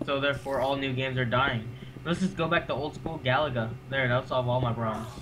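A man talks very fast in a fairly even tone, with noticeable background noise behind him. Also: medium pitch for a man. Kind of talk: casual gameplay commentary.

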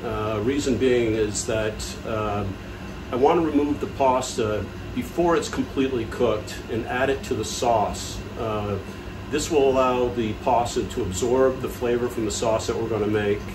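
Noticeable background noise sits under a man's voice. He speaks at a moderate pace with ordinary pitch variation. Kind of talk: tutorial. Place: kitchen. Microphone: phone near.

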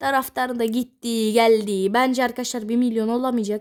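A woman shouting loudly at a high pitch, fairly slow pace, on a very clean recording with a silent background. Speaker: gaming youtuber. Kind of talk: gameplay commentary. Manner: loud, shouting.

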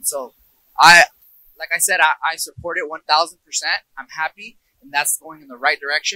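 Against a quiet background with a dry, echo-free sound, a man with a fairly high pitch speaks in a bright, sharp tone, keeping his intonation fairly even while his loudness swings widely. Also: moderate pace. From US, Yuba City California, Mexican family; California. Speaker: kabaddi player. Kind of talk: interview. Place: open country. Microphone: handheld.

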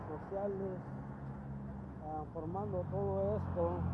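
A man talks at a very slow pace. Loud background noise runs behind him. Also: dry sound with no echo. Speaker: vlogger. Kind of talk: casual vlog commentary. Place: street. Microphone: phone near.

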